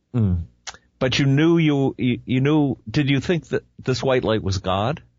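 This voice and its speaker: In an American accent, a man of medium pitch speaks fairly slowly with lively intonation. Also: very even loudness. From New Jersey, US. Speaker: radio host and hospital chaplain. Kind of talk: interview. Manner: hesitant, many fillers.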